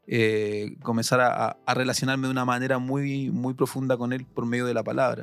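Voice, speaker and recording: With music in the background, a man with a Chilean accent speaks at a moderate pace in a monotone, flat intonation, with hardly any pauses. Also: medium pitch for a man. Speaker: seminary student. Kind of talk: testimony. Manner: halting.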